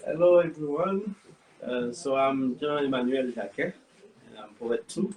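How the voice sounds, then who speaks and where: In a French accent, a man talks with fairly even intonation. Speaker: poet, audience member. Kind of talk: audience question. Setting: gallery event with audience. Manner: halting.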